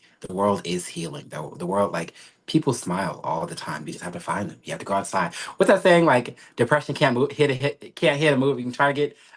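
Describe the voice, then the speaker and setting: Talking at a fairly quick pace, a man with medium pitch and vocal fry makes very wide pitch swings and big swings in loudness. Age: 20s. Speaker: sorcerer and social media creator. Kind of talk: podcast interview. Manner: halting.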